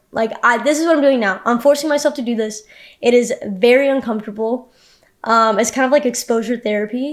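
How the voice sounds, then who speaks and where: A woman's high-pitched voice at a fairly quick pace, in a very clean recording with a silent background. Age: 20s. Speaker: vlogger. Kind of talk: personal vlog monologue. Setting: home, own room. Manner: stutter; casual, hesitant.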